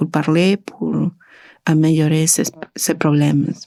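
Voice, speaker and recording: A woman with a Spanish accent speaks very slowly in a very deep, low pitch with a dark, mellow tone. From Argentina. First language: Spanish (speaking French). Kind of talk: testimony. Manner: halting, many hesitations.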